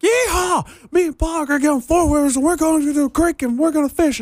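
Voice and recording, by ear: In a put-on character voice, a man talks fairly quickly at an extremely high pitch.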